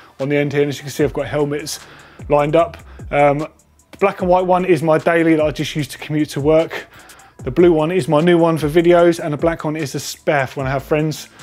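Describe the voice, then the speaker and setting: Monotone, flat delivery at a fairly quick pace, with faint music in the background. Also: man. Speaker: presenter. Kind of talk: casual tour commentary. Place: garage.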